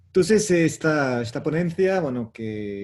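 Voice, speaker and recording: He speaks with a non-native accent. The man's pace is fairly slow. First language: French (speaking Spanish). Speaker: professor. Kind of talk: lecture. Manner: halting.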